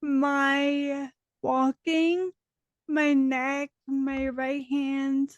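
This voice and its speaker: A woman with a high pitch is recorded in a dry, close way with no echo. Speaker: podcast host. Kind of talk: casual chat.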